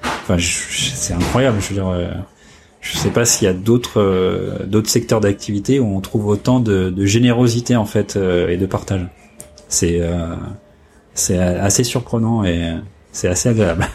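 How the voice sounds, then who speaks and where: With noticeable background noise, a man talks at a fairly slow pace, using fairly even intonation and long, frequent pauses. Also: fairly low pitch for a man. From northern France (Oise, Compiègne). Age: 40s. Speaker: photo lab owner. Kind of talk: interview. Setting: office. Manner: halting, many hesitations.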